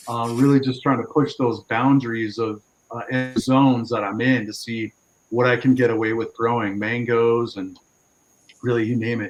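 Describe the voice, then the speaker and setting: At a moderate pace, a man with an American accent talks at a medium pitch with monotone, flat intonation. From Southern California, San Diego. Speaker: farmer. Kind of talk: casual chat.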